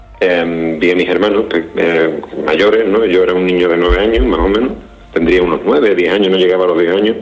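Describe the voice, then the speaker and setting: A fairly quick pace with ordinary pitch variation and very even loudness, plus noticeable background noise and audible room echo. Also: man, very deep, low pitch for a man. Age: 30s. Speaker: novelist. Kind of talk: interview.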